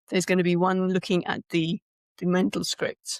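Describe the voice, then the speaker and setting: Recorded dry and close with no echo and a silent, very clean background, a woman talks at a medium pitch with a British accent. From UK. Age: 60s. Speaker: speaker coach and author. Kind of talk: podcast interview. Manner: halting, many restarts.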